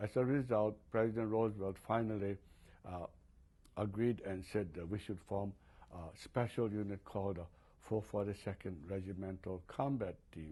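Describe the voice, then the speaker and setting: A man with a fairly low pitch and a dark, mellow tone speaks at a moderate pace with fairly even intonation. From Hawaii. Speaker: war veteran. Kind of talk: interview answer.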